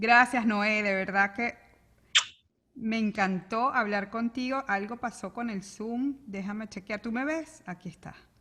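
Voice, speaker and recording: A woman speaks in a Venezuelan accent at a fairly slow pace, her fairly high voice bright and sharp in tone, with fairly even intonation and big swings in loudness. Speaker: interview show host. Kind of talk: interview conversation. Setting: video call.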